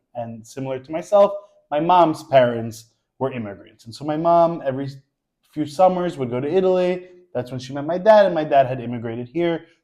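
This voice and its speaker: A man with a New York accent speaks fairly quickly in a dark, mellow tone. His intonation is lively and his loudness swings widely. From New York, Queens. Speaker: social media creator. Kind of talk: casual chat.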